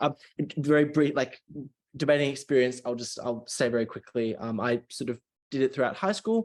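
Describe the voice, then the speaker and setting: A man speaks with an Australian accent at a fairly quick pace. His pitch varies in an ordinary way. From Australia, Melbourne. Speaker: university student debater. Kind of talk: casual chat. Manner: halting, many fillers.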